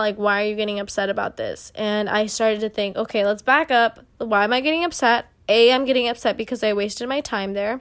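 At a fairly quick pace, a woman talks in a plain, everyday voice. Her pitch is fairly high and her intonation fairly even. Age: 20s. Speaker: solo podcast host. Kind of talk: casual monologue.

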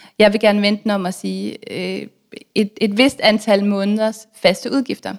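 A woman speaks in a plain, everyday voice at medium pitch, with fairly even intonation. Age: 30s. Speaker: author and blogger on personal finance. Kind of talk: casual interview.

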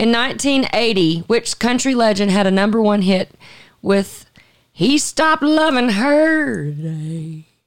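A woman with a Southern US accent talks at a fairly slow pace. Her fairly high voice moves through very wide pitch swings. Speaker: podcast host. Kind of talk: casual chat.

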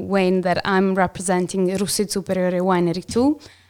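With an Italian accent, a woman talks at a moderate pace and a medium pitch. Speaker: winery owner family member. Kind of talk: casual chat.

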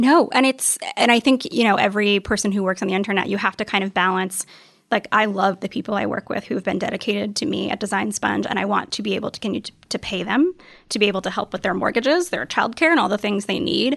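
The recording is dry and close with no echo. A woman talks at a very fast pace and a medium pitch, with ordinary pitch variation. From US South. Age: 30s. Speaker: writer and design blogger. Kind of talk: interview.

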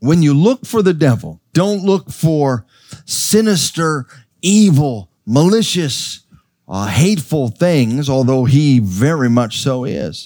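In a very clean recording with a silent background, a man with a fairly high, dark and mellow voice speaks very slowly, his pitch swinging very widely. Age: 50s. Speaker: pastor. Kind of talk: sermon. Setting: church.

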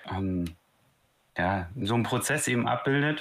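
Heard on a very clean recording with a silent background, a man talks at a very slow pace with ordinary pitch variation. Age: 30s. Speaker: startup founder. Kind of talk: casual interview.

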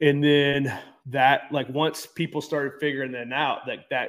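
An unremarkable speaking voice, this man's is medium in pitch, moderate in pace, and carries an American accent. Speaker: gym owner and addiction recovery advocate. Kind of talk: interview. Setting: video call with poor internet.

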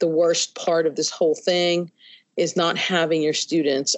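The speaker has an American accent and talks at a moderate pace. It is a normal speaking voice. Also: woman. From New York City. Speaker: high school Spanish teacher. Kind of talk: interview.

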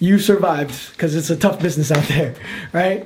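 Audible room echo surrounds a man with an American accent who speaks in a high pitch with fairly even intonation. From New York City. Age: 30s. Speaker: podcast host. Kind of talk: casual chat. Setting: studio with cameras.

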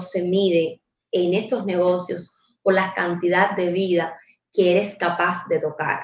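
The speaker is a woman with a plain, everyday voice. Her pitch is medium and her pace fairly slow. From Cuba, Guantánamo province. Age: 20s. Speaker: entrepreneur. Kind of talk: casual chat.

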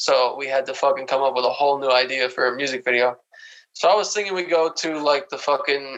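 A man with a medium pitch talks at a fairly quick pace. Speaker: podcast co-host. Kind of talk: casual vulgar comedy banter, ad parody. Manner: animated, profane.

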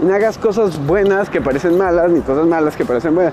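Fairly brisk talking against clearly audible background noise. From Mexico. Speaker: podcast host. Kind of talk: casual monologue while walking. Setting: outdoors, walking home.

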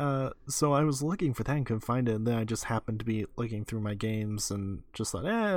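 This very clean recording with a silent background captures a man with an unremarkable speaking voice at medium pitch and ordinary pitch variation. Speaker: podcast co-host. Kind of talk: casual chat.

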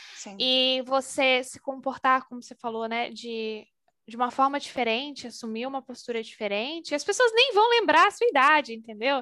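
Projecting a raised voice, a woman speaks at a moderate pace with a high pitch and a bright, sharp tone. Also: ordinary pitch variation. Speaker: HR and talent manager. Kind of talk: casual interview.

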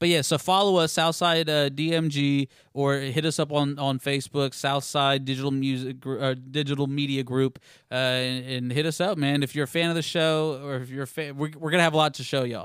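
Using an ordinary speaking voice, a man with an American accent talks at a fairly quick pace and fairly high pitch with fairly even intonation, in a very clean recording over a silent background. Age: 20s. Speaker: podcast host. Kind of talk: casual chat. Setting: live studio podcast with audience.

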